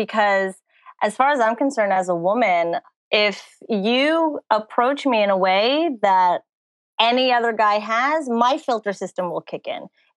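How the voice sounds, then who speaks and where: Using a normal speaking voice, a woman talks fairly slowly at a fairly high pitch with lively intonation, the sound dry and close with no echo. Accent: American. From New Jersey. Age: 20s. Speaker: dating coach. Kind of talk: casual interview.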